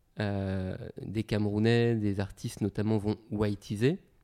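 Here a man speaks with a fairly low pitch and a dark, mellow tone. His intonation is monotone and flat. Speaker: hip-hop artist and consultant. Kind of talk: interview.

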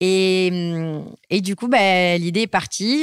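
At a fairly slow pace, a woman speaks with an ordinary speaking voice and ordinary pitch variation. The sound is dry and close with no echo, in a very clean recording with a silent background. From southwest France. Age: 30s. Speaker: entrepreneur. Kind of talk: interview. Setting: at a home near Marseille.

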